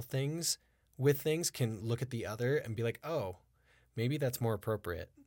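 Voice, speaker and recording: A man's medium-pitched, normal speaking voice with ordinary pitch variation. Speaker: podcast host and acting teacher. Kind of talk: casual interview chat. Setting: studio.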